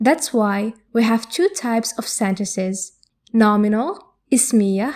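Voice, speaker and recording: In a very clean recording with a silent background, a woman talks at a very slow pace, her fairly high pitch showing ordinary variation. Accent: Arabic. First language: Arabic. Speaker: Arabic language teacher. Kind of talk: tutorial. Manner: clear and measured.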